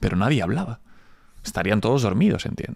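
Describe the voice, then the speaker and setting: This is a man speaking at a medium pitch. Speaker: entrepreneur. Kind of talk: casual interview.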